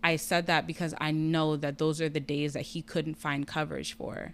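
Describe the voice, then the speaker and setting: On a very clean recording with a silent background, a woman with a very deep, low pitch speaks with fairly even intonation. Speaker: patient sharing health story. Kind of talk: personal testimony in casual interview.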